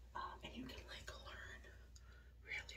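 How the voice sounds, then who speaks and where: A woman is whispering. Noticeable background noise sits behind her. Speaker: ASMR vlogger. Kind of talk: ASMR skincare chat. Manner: whispered. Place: bathroom. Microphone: phone near.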